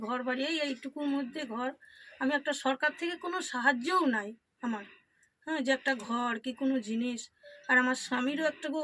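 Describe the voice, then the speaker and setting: Fairly even in intonation, a woman talks at a high pitch. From Birbhum, West Bengal, India. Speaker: housewife and self-taught singer. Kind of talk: interview testimony.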